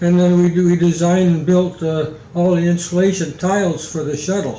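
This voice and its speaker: A high-pitched male voice at a moderate pace, monotone and flat in intonation, with noticeable background noise. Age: 80s+. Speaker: retired aerospace engineer; war veteran. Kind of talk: interview answer. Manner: halting, hesitant.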